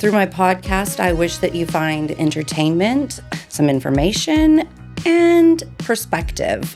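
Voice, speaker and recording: Music in the background behind a woman's very slow delivery. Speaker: podcast host. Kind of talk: podcast interview.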